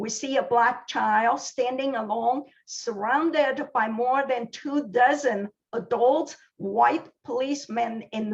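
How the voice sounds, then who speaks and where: A woman with a Chinese accent, fairly high-pitched, at a very slow pace and with ordinary pitch variation. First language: Mandarin Chinese. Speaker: library science professor. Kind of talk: scripted presentation. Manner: formal.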